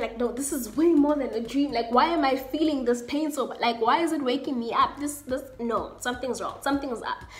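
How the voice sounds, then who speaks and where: Speaking in an animated tone at a moderate pace, a woman with a South African accent uses a high pitch and ordinary pitch variation. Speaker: YouTuber. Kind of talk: storytime, casual talk to camera. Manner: animated, expressive. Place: home room. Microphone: webcam.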